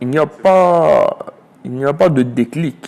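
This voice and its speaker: The speaker is a man. His intonation is lively. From Côte d'Ivoire (Abidjan, Adjamé). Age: 30s. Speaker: charity volunteer leader. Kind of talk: interview testimony.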